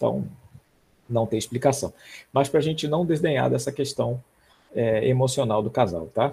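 Vocal fry colors a man's dark, mellow voice at medium pitch. He talks at a moderate pace with ordinary pitch variation. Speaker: medical professor. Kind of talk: lecture. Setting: online recorded class. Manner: casual, repetitive with fillers.

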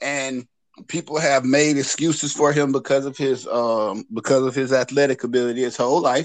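An ordinary speaking voice moves at a moderate pace with fairly even intonation. The background is quiet. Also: man, medium pitch for a man. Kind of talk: casual podcast chat about sports. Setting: remote call joining late.

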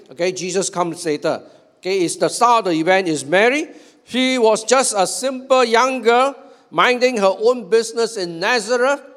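Against noticeable background noise, a man talks with high pitch and lively intonation. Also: moderate pace. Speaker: pastor. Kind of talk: sermon.

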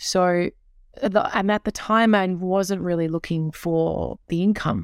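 Recorded very cleanly against a silent background, a woman with a plain, everyday voice talks at a fairly slow pace, her fairly low pitch showing ordinary variation. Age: 30s. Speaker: guest host and entrepreneur. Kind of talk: casual chat.

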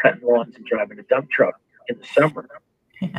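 A man with an American accent, at a very fast pace. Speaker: entertainment executive. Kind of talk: casual chat.

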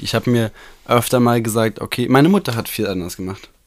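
In a normal speaking voice, a man with a medium pitch talks at a fairly quick pace. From Germany, Bochum (Ruhr area). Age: 20s. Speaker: podcast co-host.

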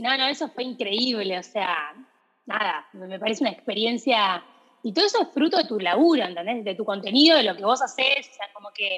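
A woman speaks at a fairly quick pace with lively intonation. Her pitch is fairly high. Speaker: podcast host, shoe brand founder. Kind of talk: casual interview. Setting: video call.

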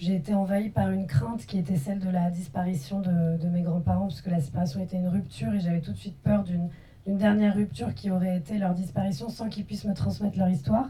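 A woman's somewhat breathy, fairly low voice with a dark, mellow tone, very fast pace and ordinary pitch variation. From France. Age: young. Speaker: filmmaker. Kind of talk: post-screening panel discussion.

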